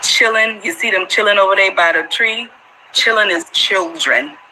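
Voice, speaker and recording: With noticeable background noise behind her, a woman with an American accent talks at a moderate pace in a medium pitch. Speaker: Gullah culture interviewee. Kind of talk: casual interview chat.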